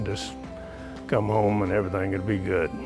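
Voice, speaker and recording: Over music in the background, a man with a fairly low pitch speaks with lively intonation. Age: 80s+. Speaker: horseman and stockman, retired agriculture professor. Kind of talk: interview answer.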